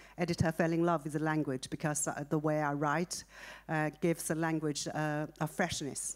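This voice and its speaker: A woman speaks with a Chinese accent, her pitch very deep and low. Her intonation is monotone and flat on a very clean recording with a silent background. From China. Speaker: author. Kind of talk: interview. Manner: halting, many fillers.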